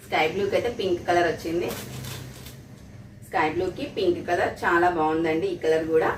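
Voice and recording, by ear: A woman speaks at a fairly quick pace and fairly low pitch with fairly even intonation, and the room echo is audible.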